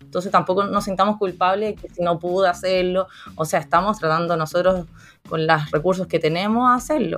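A woman with a plain, everyday voice, ordinary pitch variation and a fairly quick pace. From Chile. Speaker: psychologist and career coach. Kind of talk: interview.

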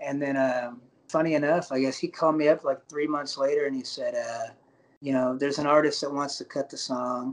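A man talks at a fairly quick pace in a fairly high voice. His intonation is monotone and flat, and there is noticeable background noise. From Alabama. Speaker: singer-songwriter. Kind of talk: interview. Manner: halting.

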